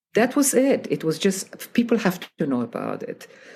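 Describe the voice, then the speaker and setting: A woman with vocal fry talks at a fairly slow pace, her pitch swinging very widely. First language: not English. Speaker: piano teacher and author. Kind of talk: interview.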